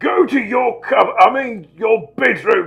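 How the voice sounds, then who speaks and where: Over background music, a man puts on a character voice that is raspy and wheezy, extremely high-pitched, with very wide pitch swings. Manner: wheezing.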